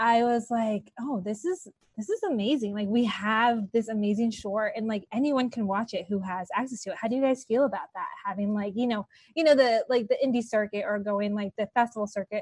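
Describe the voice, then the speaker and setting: Somewhat breathy and animated, a woman speaks at a fairly quick pace with fairly high pitch and ordinary pitch variation, recorded dry and close with no echo. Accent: Californian. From Los Angeles. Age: 30s. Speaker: TV talk show host. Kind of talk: casual interview.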